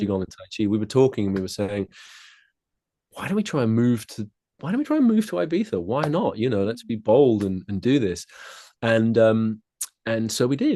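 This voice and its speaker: With a southern English accent, the dark, mellow voice leaves long, frequent pauses against a quiet background. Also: man, medium pitch for a man, ordinary pitch variation, fairly quick pace. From southeast England (Kent), summers in west of Ireland. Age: 40s. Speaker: tai chi and qigong teacher. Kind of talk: podcast interview.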